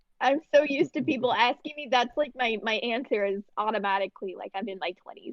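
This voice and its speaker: Using an American accent, a woman talks at a fairly quick pace with hardly any pauses, her high-pitched voice showing lively intonation and big swings in loudness. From South Florida, Miami area. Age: 20s. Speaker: podcast guest. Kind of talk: casual chat.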